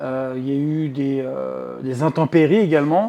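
The man's pitch moves in an ordinary way. His tone is dark and mellow. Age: 30s. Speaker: real estate agency founder. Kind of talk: interview. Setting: at the guest's home.

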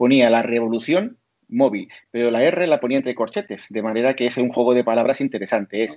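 Speaking at a moderate pace, a man keeps his voice at a medium pitch. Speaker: telecommunications engineer. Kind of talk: expert interview. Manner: talkative.

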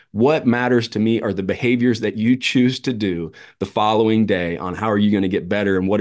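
In an ordinary speaking voice, a man talks at a fairly quick pace and a fairly low pitch, with ordinary pitch variation. The background is quiet. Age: 40s. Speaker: former pro baseball player and mental performance coach. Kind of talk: casual interview chat.

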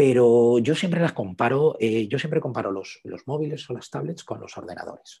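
With a dark, mellow tone and a medium pitch, a man speaks at a moderate pace with hardly any pauses, lively intonation and big swings in loudness. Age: 40s. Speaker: photographer. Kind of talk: interview.

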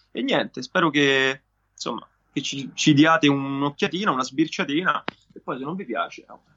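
A man with an unremarkable speaking voice talks at a moderate pace and a fairly high pitch, with ordinary pitch variation and big swings in loudness. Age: 20s. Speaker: singer-songwriter. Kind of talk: interview.

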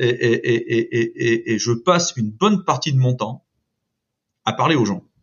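With ordinary pitch variation, a man talks in a somewhat breathy voice at a medium pitch. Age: 50s. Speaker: construction company branch director. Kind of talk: interview. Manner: hesitant, many repetitions and fillers.

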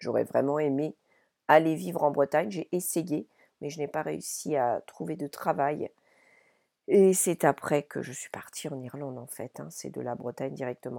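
A woman with a very deep, low pitch and a dark, mellow tone speaks at a fairly slow pace with vocal fry, ordinary pitch variation and big swings in loudness, in a very clean recording with a silent background and a dry, close sound with no echo. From France, Paris region (born in Brittany). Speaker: podcast host and business coach. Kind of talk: solo monologue podcast. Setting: wooden chalet in Ireland.

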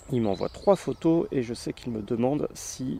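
A man's medium-pitched voice, dark and mellow in tone, at a very slow pace with ordinary pitch variation. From Brittany (Finistère), France. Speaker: podcast host. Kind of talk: casual chat.

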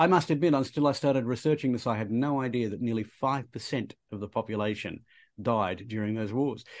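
With an Australian accent, a man of medium pitch talks at a very fast pace. His pitch varies in an ordinary way over a quiet background. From Australia, Queensland. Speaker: history podcast co-host. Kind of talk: casual educational chat.

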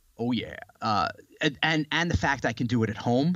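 This man has a normal speaking voice at a medium pitch. He talks at a fairly quick pace with ordinary pitch variation. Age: 40s. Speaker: author and health entrepreneur. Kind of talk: casual chat.

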